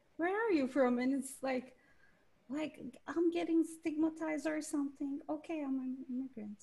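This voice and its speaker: A woman with a high pitch and a dark, mellow tone speaks at a moderate pace, with long, frequent pauses. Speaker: graduate school applicant. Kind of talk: casual chat. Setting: video call. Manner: halting.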